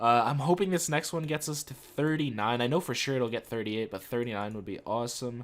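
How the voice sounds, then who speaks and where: A man with a medium pitch talks fairly quickly with lively intonation. The recording is very clean, with a silent background. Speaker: gaming youtuber. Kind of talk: gameplay voiceover commentary. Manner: fast; casual, with filler uhs.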